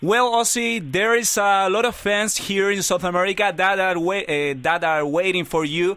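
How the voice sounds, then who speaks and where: With a Chilean accent, a man uses a raised, projected voice that is high-pitched, with a bright, sharp tone, ordinary pitch variation, very even loudness and hardly any pauses. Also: moderate pace. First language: Spanish. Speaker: radio interviewer. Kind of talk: interview.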